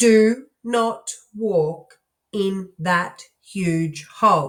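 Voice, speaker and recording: A woman puts on a robotic character voice at a medium pitch. She speaks very slowly. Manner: each word separate, no intonation.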